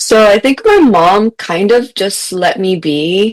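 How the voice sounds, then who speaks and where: Lively intonation and a Spanish accent come through in a dry, close recording with no echo. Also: woman. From US-Mexico border region, Mexican-American family. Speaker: author and teacher, podcast guest. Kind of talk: casual interview chat. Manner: conversational, some false starts.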